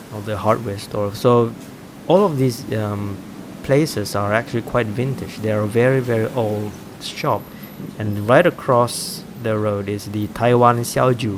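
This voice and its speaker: A man at a medium pitch, fairly slow pace and ordinary pitch variation, with noticeable background noise. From Malaysia, Kuching, Sarawak. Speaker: travel vlogger. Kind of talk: walking tour vlog. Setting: outdoors, street. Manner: halting. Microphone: action camera, poor quality recording.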